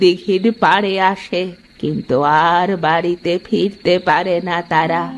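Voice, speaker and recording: Over clear background music, a female-sounding cartoonish character voice speaks at a very slow pace. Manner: blunt, knowing.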